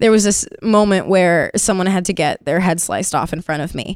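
A woman speaks at a medium pitch and a moderate pace, with ordinary pitch variation. It is a plain, everyday voice. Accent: American. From Brooklyn, New York. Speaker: soap opera actress. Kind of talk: casual chat.

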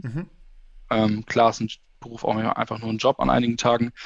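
In a plain, everyday voice, a man speaks fairly quickly at a medium pitch, the sound dry and close with no echo. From northern Germany, Schleswig-Holstein. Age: 30s. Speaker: kindergarten teacher. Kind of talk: interview. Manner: talkative, many fillers.

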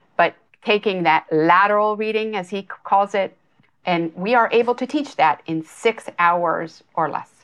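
A woman's plain, everyday voice at medium pitch, with ordinary pitch variation and a fairly slow pace. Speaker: nonprofit chief executive. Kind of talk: casual interview.

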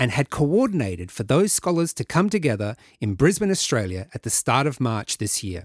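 Recorded dry and close with no echo, a man talks at a moderate pace with very wide pitch swings and vocal fry. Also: very clean recording, silent background. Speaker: podcast host. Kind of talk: scripted narration with interview links. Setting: studio.

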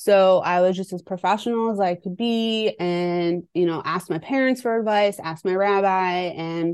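A woman speaks in a normal speaking voice at a medium pitch, with ordinary pitch variation. Her pace is moderate, and the background is quiet. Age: 30s. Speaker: community member sharing personal experiences. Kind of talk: casual chat.

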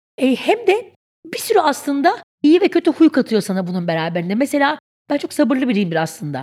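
This woman's voice is high in pitch. It moves through very wide pitch swings. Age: 40s. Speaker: director and content creator. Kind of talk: casual chat.

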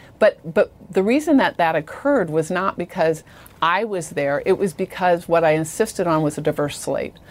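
A woman with an American accent and a normal speaking voice talks at a moderate pace, fairly low in pitch, with lively intonation. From Iowa. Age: 50s. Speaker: company CEO. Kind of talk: interview.

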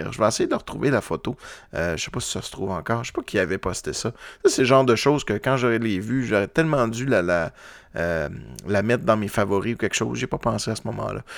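A man with a medium pitch and vocal fry talks at a very fast pace. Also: ordinary pitch variation, very clean recording, silent background. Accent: Saguenay–Lac-Saint-Jean. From Quebec, Lac-Saint-Jean. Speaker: music podcast host. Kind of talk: casual monologue between music tracks. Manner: halting, many filler words.

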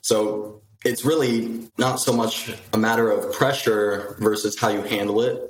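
Amid audible room echo, a man speaks at a fairly slow pace with monotone, flat intonation. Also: medium pitch for a man, very even loudness. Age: 20s. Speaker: real estate agent. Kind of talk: live coaching call.

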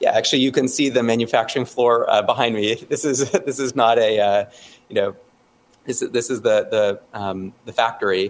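A man with an unremarkable speaking voice talks at a moderate pace, his medium pitch showing ordinary pitch variation. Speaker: tech company executive. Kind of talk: interview. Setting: video call.

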